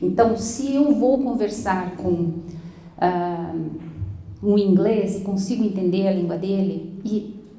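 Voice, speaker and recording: Amid audible room echo, a woman speaks at a very slow pace with a medium pitch and ordinary pitch variation. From Brazil. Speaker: school English teacher. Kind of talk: lecture.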